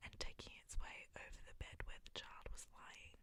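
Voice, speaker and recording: The whispering moves along at a fairly slow pace. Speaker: ASMR storyteller. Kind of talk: fairy tale reading, bedtime story. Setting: binaural ASMR recording. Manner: whispered, soft-spoken.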